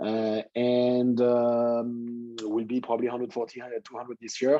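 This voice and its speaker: A man speaks fairly slowly at a medium pitch in a monotone, flat intonation. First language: French. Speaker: tech entrepreneur, company founder. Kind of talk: guest talk to students.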